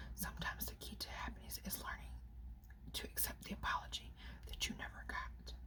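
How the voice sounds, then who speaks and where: Whispering and soft-spoken, a woman talks at a fairly quick pace with long, frequent pauses over noticeable background noise. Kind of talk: ASMR whisper reading of inspirational quotes off a phone. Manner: whispered, soft.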